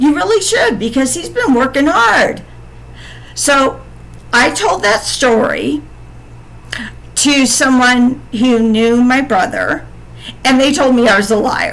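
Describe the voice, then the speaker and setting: A woman with an American accent speaks at a very slow pace with long, frequent pauses, amid audible room echo and noticeable background noise. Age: 50s. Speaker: podcaster telling personal story. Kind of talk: personal storytelling monologue. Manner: halting, repetitive.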